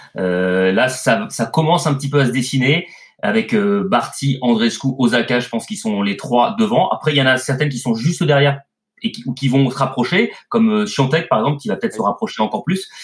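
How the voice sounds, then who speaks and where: Somewhat breathy male voice at a fairly quick pace with very wide pitch swings. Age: 40s. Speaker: tennis commentator. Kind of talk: casual chat.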